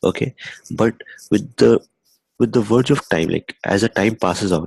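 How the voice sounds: At a moderate pace, a man talks with fairly even intonation, a slightly mellow tone, vocal fry and a slightly husky edge, in a dry, close sound with no echo.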